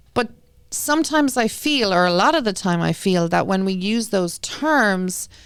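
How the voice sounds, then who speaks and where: In an Irish accent, the speaker moves at a moderate pace with very wide pitch swings and very even loudness, in a very clean recording with a silent background. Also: woman, medium pitch for a woman. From Ireland. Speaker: school committee member and parent. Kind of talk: interview.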